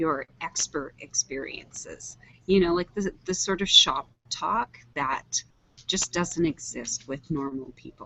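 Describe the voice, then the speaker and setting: A soft-spoken woman talks at a very slow pace in a fairly low voice with ordinary pitch variation. Her loudness swings widely. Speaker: online show host. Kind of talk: casual chat. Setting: video call from public library. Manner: varied pitch.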